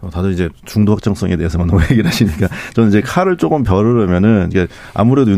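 A man speaks very fast with lively intonation. His tone is dark and mellow. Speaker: newspaper journalist. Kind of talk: radio panel discussion. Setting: studio.

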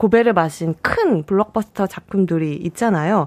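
Captured with a dry, close sound and no echo, a woman talks fairly slowly at medium pitch with very wide pitch swings. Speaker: film journalist. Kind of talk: radio film review discussion. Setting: radio studio.

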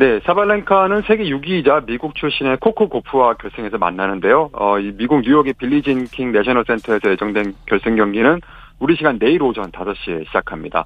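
A man's medium-pitched voice at a fairly quick pace, with very wide pitch swings and hardly any pauses. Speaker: news agency reporter. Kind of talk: radio news report.

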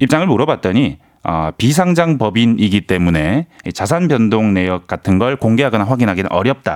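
Speaking at a moderate pace and medium pitch, a man makes very wide pitch swings while keeping his loudness very even. The sound is dry and close with no echo, on a very clean recording with a silent background. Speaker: news reporter. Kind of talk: news briefing chat. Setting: radio studio.

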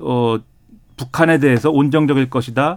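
This man talks at a moderate pace. His pitch sits in the middle range and varies in an ordinary way. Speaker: political commentator. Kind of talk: panel discussion.

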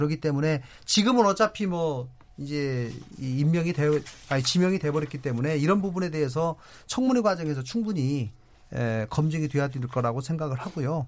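At a fairly quick pace, a man with a plain, everyday voice speaks in a fairly high pitch with lively intonation, in a very clean recording with a silent background. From South Korea, North Jeolla. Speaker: politician, member of parliament. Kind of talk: political debate.

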